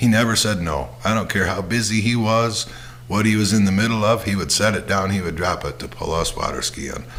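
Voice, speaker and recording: Amid noticeable background noise and audible room echo, a man with fairly low pitch and ordinary pitch variation talks at a fairly quick pace. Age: 60s. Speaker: podcast host. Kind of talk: casual monologue. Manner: halting, many fillers and repeats.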